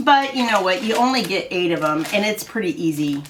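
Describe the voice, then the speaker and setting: A woman with a Midwestern US accent talks at a fairly quick pace with lively intonation, with audible room echo and noticeable background noise. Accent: US Midwest. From Iowa. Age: 60s. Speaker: haul video creator. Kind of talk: casual haul vlog. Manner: chatty, hesitant with fillers.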